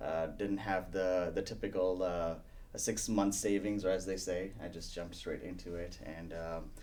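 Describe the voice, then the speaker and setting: A man talks at a moderate pace in a fairly low pitch. His intonation stays fairly even, and the room echo is audible. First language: not English. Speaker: real estate team leader. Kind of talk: interview. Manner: many fillers and hesitations.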